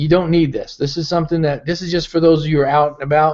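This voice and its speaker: A man speaks very fast in a fairly high voice with monotone, flat intonation. The background is quiet. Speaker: business founder and network marketing leader. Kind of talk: live webinar update.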